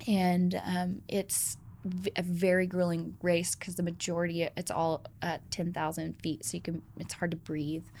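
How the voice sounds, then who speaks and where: In a normal speaking voice, a woman with an American accent talks at a fairly slow pace with hardly any pauses, her pitch fairly low and her intonation fairly even. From Georgia, US South. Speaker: ice cream company founder and CEO. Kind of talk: interview conversation.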